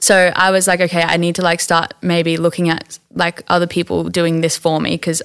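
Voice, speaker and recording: A woman with an Australian accent speaks in a fairly low, monotone voice with flat intonation. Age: 20s. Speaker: small clothing brand owner. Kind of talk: casual interview. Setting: studio.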